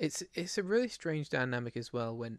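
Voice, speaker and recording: This man has an English accent and a medium pitch. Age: 30s. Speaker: podcast host. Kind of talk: casual chat. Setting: live stream.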